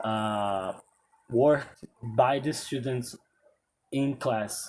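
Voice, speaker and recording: In a Portuguese accent, the speaker goes at a very slow pace with fairly even intonation. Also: man, medium pitch for a man. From Brazil. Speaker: English teacher. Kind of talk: casual talk to camera. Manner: halting.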